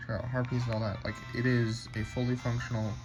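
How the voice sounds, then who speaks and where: Over music in the background, a man talks at a medium pitch and a fairly quick pace. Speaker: handheld game reviewer. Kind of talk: casual talk to camera. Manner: stuttering, hesitant.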